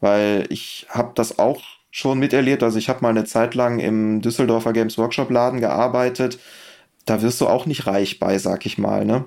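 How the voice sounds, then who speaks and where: This man speaks at a medium pitch and a moderate pace. His intonation is monotone and flat. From Germany, rural. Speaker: miniature painting expert. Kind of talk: casual chat.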